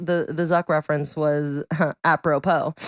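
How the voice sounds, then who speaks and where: Recorded dry and close with no echo, a woman speaks against a very clean, silent background. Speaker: podcast host. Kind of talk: casual chat. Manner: fast; animated.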